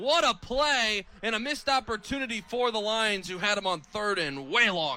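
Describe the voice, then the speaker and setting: Raised and projected over noticeable background noise, a man's high, energetic voice swings very widely in pitch. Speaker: sports broadcaster, radio play-by-play announcer. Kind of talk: college football radio play-by-play. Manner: fast, energetic.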